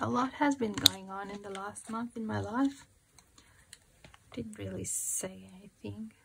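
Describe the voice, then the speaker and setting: A woman's fairly slow speech, broken by long, frequent pauses. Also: big swings in loudness. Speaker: crafting youtuber. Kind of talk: craft tutorial chat. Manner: calm.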